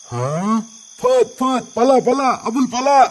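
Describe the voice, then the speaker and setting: In a cartoonish character voice, a man speaks at an extremely high pitch with fairly even intonation over light background noise. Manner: curt, bossy.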